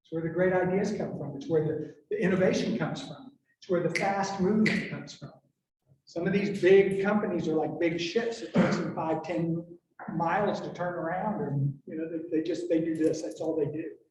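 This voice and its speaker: Audible room echo surrounds a man's high voice as he talks at a fairly quick pace, with ordinary pitch variation and big swings in loudness. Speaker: government business specialist. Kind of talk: presentation to business audience. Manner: fast.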